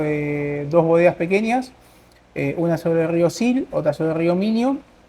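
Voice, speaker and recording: A man with an Argentine accent speaks in a high voice with ordinary pitch variation. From Argentina, Buenos Aires. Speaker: winery representative. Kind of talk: casual interview.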